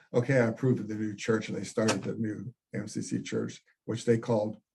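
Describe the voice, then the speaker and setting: This man has an American accent and a medium pitch, talking at a fairly quick pace. His somewhat breathy delivery stays monotone and flat. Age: 80s+. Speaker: retired priest and pastor. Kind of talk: oral history interview. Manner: halting, repeated words.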